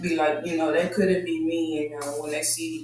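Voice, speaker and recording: Soft-spoken and fairly high-pitched for a man, he talks at a moderate pace amid audible room echo and noticeable background noise. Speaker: podcast host. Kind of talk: casual monologue.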